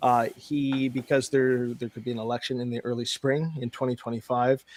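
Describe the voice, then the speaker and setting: With a Canadian accent and a normal speaking voice, this speaker talks at a fairly quick pace in a dry, close sound with no echo. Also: man. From Canada. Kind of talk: casual chat.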